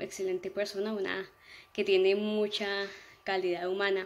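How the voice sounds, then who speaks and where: A woman with a medium-pitched voice speaks in a flat monotone at a moderate pace. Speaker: student testimonial giver. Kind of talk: testimonial. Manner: hesitant, filler-heavy. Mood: warm, appreciative. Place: home room. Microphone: phone near.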